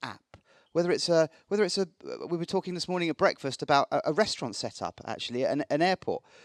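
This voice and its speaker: A man at a very fast pace, dry and close with no echo, on a very clean recording with a silent background. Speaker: marketing executive and conference speaker. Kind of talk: conference presentation. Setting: stage with audience.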